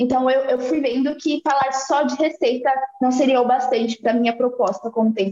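At a moderate pace, a woman's high voice holds fairly even intonation and very even loudness. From Salvador, Bahia, Brazil. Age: 20s. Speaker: activist and law student. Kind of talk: casual interview.

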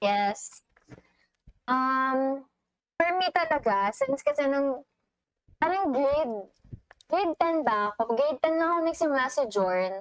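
A woman's high voice at a fairly slow pace, with long, frequent pauses and very even loudness. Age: 20s. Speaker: podcast co-host. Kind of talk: casual chat.

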